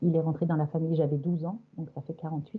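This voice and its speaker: A woman speaks at a very fast pace in a fairly low, somewhat breathy voice. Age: 60s. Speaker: hypnosis session client. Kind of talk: personal testimony. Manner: halting.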